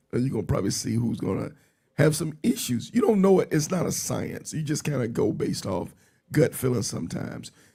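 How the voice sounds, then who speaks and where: A man's dark, mellow tone with vocal fry, fairly high pitch, very wide pitch swings and a fairly quick pace. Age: 50s. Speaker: podcast host and motorcycle ride organizer. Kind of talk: casual interview chat. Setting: live stream.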